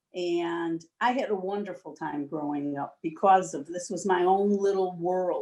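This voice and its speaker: Speaking at a fairly slow pace in an American accent, a woman has a fairly low pitch and a dark, mellow tone. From US Midwest, Chicago north side. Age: 70s. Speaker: interview guest. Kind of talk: casual chat.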